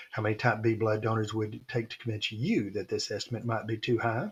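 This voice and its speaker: A man speaks at a fairly quick pace. His voice is medium in pitch and somewhat breathy. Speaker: statistics teacher. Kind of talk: lecture.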